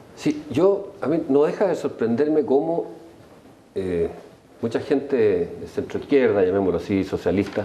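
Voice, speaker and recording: Pausing long and often, a man speaks at a moderate pace with a fairly high pitch and very wide pitch swings. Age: 60s. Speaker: political panelist. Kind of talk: heated debate. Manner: animated.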